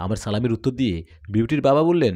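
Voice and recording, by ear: A man with a dark, mellow tone talks fast, his intonation lively. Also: medium pitch for a man, very clean recording, silent background.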